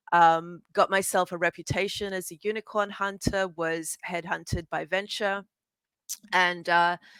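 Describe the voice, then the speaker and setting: In an Australian accent, the speaker talks at a fairly slow pace with monotone, flat intonation and big swings in loudness, in a dry, close recording with no echo and a very clean, silent background. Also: woman, fairly low pitch for a woman. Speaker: venture capital fund manager. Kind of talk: panel discussion.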